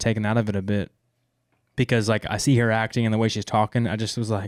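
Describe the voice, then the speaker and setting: Animated in tone, the voice carries an American accent on a very clean recording with a silent background. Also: man. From US South, small town. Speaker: podcast host, movie reviewer. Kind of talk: casual chat.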